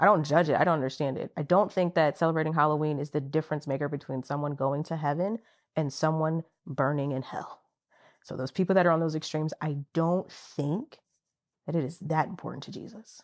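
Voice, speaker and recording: An animated woman's voice, very deep and low-pitched, at a fairly quick pace, with big swings in loudness against a quiet background. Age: 30s. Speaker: podcast co-host. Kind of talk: casual chat.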